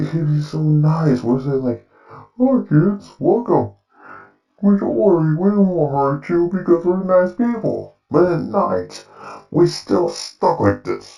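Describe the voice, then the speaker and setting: In a put-on character voice, a man speaks at a fairly slow pace with a fairly high pitch. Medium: solo performance. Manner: sighing, sulky, self-pitying.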